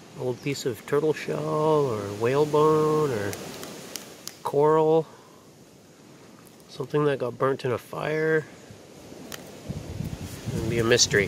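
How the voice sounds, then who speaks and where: A man talks with ordinary pitch variation and long, frequent pauses over light background noise. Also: dry sound with no echo. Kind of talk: casual vlog chat. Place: open country. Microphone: phone near.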